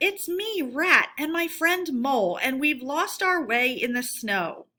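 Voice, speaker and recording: A woman in a put-on character voice, high-pitched and at a fairly slow pace. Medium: read story.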